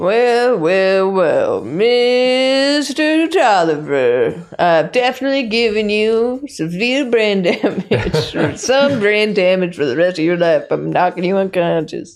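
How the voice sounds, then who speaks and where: A female-sounding, put-on character voice of medium pitch, drawling at a fairly slow pace with hardly any pauses. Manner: gloating, theatrical.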